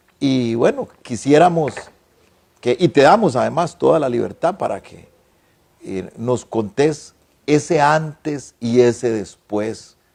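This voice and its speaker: A man's medium-pitched voice at a very slow pace, with lively intonation, big swings in loudness and long, frequent pauses. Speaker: TV talk show host. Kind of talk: interview.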